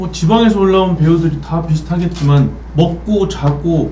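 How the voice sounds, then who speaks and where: Audible room echo and noticeable background noise surround the speaker. He is a man talking at a moderate pace. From Busan, South Korea. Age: 30s. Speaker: actor. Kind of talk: casual interview.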